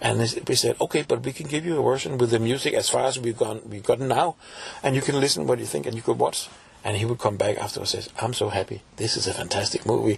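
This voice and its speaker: A man with a Danish accent at a very fast pace, over noticeable background noise. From Denmark, Copenhagen. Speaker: folk musician and composer. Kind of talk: interview.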